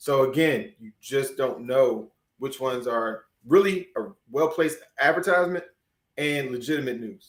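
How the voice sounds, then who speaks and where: Speaking at a moderate pace, a man with a fairly high pitch shows ordinary pitch variation and big swings in loudness. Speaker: investing educator, show co-host. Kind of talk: live-streamed casual discussion. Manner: halting, repeats words.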